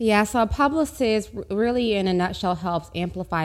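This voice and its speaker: In a normal speaking voice, a woman talks at a moderate pace with lively intonation on a very clean recording with a silent background. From Oklahoma, US (Tulsa). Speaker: publicist and agency owner. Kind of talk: interview.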